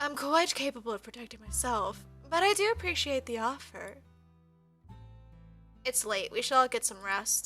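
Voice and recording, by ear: A female-sounding, nasal put-on character voice speaks with a high pitch at a moderate pace. Long, frequent pauses break it up, and faint music plays in the background.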